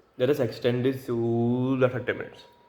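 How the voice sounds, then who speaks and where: With a Gujarati accent, a man talks at medium pitch using fairly even intonation. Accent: Indian (Gujarati) English. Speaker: language learner vlogger. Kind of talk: solo free-speaking practice monologue. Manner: halting, with self-corrections.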